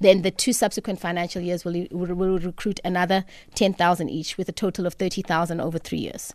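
A woman's fairly low voice, monotone and flat in intonation, at a very fast pace, on a very clean recording with a silent background. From southern Africa, raised in exile. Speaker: chief executive of a regulator. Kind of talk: radio interview. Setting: studio.

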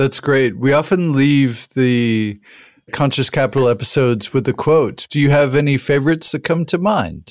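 A man with an American accent speaks in an ordinary speaking voice at a fairly high pitch. His pace is moderate, with ordinary pitch variation and very even loudness. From US Southwest, New Mexico. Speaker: podcast host. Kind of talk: interview; scripted narration.

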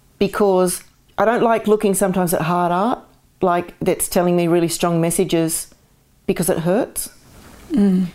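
A woman with an Australian accent speaks at a medium pitch and moderate pace, her tone dark and mellow. Her intonation is fairly even, her loudness very even, and her pauses long and frequent. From Australia, Sydney area (born in Glasgow). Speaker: artist. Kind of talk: interview conversation. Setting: at home.

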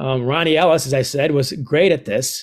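With an American accent, a man speaks at a moderate pace in an unremarkable speaking voice, fairly high in pitch with fairly even intonation, on a very clean recording with a silent background. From United States. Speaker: author. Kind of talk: podcast interview.

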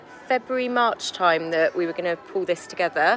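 A woman talks over noticeable background noise. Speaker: village event organiser. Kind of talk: casual interview. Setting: outdoors.

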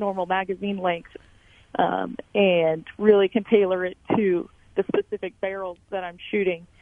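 A woman with an American accent speaks at a medium pitch in an ordinary speaking voice, fairly slowly and with fairly even intonation. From Emporia, Kansas. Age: 20s. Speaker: competition shooter. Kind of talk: radio interview.

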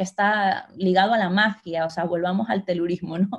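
A woman's somewhat breathy voice keeps a moderate pace and fairly even intonation. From Ecuador. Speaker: writer. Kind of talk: interview conversation. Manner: halting, with repetitions.

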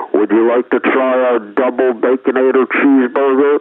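At a moderate pace, a man uses a put-on character voice pitched at a medium level. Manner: comic.

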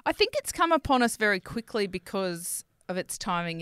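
A woman speaks at medium pitch and a moderate pace in a normal speaking voice. The recording is very clean with a silent background and a dry, close sound with no echo. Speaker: podcast co-host. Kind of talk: casual banter podcast chat. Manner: laughs often, playful.

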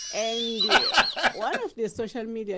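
A woman's bright, sharp tone at a very slow pace. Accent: South African. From South Africa, Durban. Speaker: caller. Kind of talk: call-in comment.

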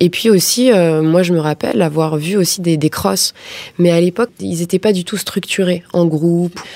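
A woman with an ordinary speaking voice, fairly low in pitch, with ordinary pitch variation at a moderate pace. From Paris suburbs, France. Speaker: film director. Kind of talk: interview.

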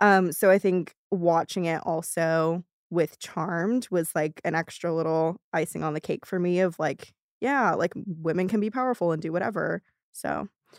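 A woman's fairly low-pitched voice, an ordinary speaking voice at a moderate pace with ordinary pitch variation, in a very clean recording with a silent background and a dry, close sound with no echo. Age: 20s. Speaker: writer and director, podcast creator. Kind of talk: casual interview.

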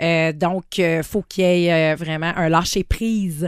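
A woman with a Quebec accent, fairly low in pitch, at a moderate pace, in a dry, close sound with no echo and a very clean recording with a silent background. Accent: Québécois French. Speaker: sex shop owner. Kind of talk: casual chat. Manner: hesitant, many fillers.

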